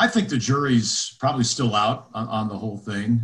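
A man speaks in a somewhat breathy voice. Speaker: former radio play-by-play announcer. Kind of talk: casual interview chat.

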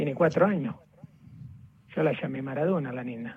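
A man speaks with lively intonation. He is pitched fairly high. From southern Italy (Naples area). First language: Italian (speaking Spanish). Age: 40s. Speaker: friend of a football star. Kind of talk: phone interview. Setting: phone call.

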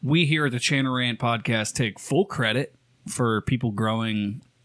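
A man with a Nevada accent speaks at a moderate pace and a medium pitch, with ordinary pitch variation and very even loudness. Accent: rural Nevada twang. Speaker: podcast co-host. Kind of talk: casual, profane.

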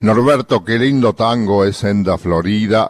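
A man with a Rioplatense accent talks at a fairly slow pace. His pitch is fairly low, and the recording is very clean with a silent background. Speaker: radio host. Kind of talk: radio music commentary.

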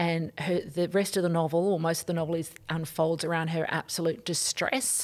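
This woman has an Australian accent and a fairly low pitch. Her intonation is monotone and flat. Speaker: author and professor. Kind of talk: interview.

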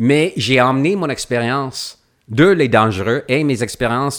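A man with an English accent speaks at a medium pitch and a fairly slow pace. The recording is very clean, with a silent background. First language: English (speaking French). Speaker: actor. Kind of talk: casual chat. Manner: halting, many repetitions.

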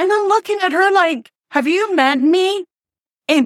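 A woman on a very clean recording, silent in the background, with a dry, close sound and no echo. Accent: Panamanian. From Panama, Panama City. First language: Spanish. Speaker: community health program leader. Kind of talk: interview.

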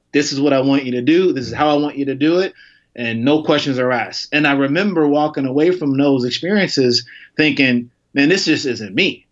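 A man with an American accent talks at a fairly quick pace. His pitch is fairly high, with ordinary variation. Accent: slight twang, mistaken for Southern. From Chicago. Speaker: advertising tech executive. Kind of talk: casual interview conversation.

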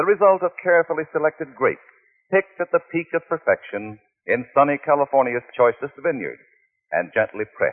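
An ordinary speaking voice from a man, fairly high in pitch, fairly quick, with lively intonation. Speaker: radio announcer. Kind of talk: sponsor advertisement read.

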